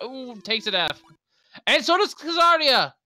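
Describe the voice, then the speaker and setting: Speaking at a moderate pace, a woman is heard with music in the background. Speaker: esports commentator. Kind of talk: live commentary. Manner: stuttering.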